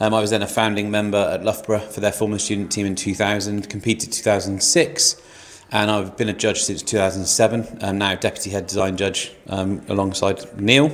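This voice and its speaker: Fairly quick delivery amid noticeable background noise. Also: man, fairly low pitch for a man, fairly even intonation. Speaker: engineer and competition judge. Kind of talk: casual panel introduction.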